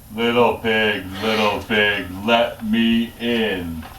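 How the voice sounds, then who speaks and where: A man uses a put-on character voice at a medium pitch, speaking at a very slow pace. Background noise is clearly audible. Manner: yelling, threatening.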